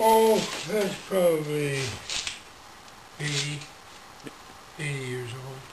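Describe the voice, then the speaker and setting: Amid noticeable background noise and audible room echo, a man with a fairly high pitch and lively intonation speaks at a very slow pace with long, frequent pauses. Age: 70s. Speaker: retired telecom supervisor with Parkinson's. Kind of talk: interview. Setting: garage.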